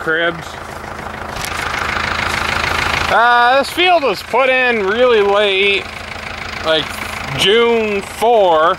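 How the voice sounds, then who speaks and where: A man speaks at a very slow pace in a raised, projected voice. The sound is dry with no echo, and there is noticeable background noise. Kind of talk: casual vlog chat. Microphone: phone near.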